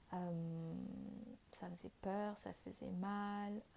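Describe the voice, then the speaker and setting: A woman's voice has a dark, mellow tone. It sounds somewhat breathy. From Vietnam. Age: 20s. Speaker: spiritual podcast host. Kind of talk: personal testimony. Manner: hesitant, with frequent fillers.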